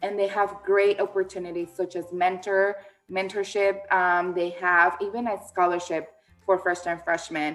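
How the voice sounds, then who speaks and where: A woman talks at a moderate pace with noticeable background noise around her. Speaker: admissions counselor. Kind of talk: informational webinar. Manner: halting, many fillers.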